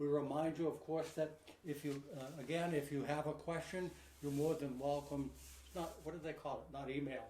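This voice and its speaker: Amid noticeable background noise and audible room echo, a man talks in a fairly high, monotone voice with flat intonation. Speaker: pigeon supply company host. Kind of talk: live online show, casual. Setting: live video broadcast. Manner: fast.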